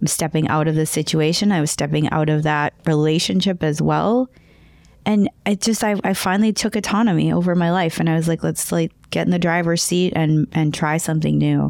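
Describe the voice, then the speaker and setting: Speaking at a fairly quick pace with a North Dakota accent, a woman keeps a fairly low pitch, ordinary pitch variation and very even loudness in a dry, close sound with no echo. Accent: Upper Midwest (North Dakota). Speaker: podcaster and emotional intelligence speaker. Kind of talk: interview conversation.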